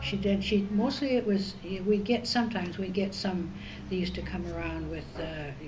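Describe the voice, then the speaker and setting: With noticeable background noise behind her, a woman speaks at a moderate pace. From northern British Columbia, Canada. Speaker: oral history interviewee. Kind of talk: interview answer. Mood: calm, reminiscing. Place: hall. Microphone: camera far.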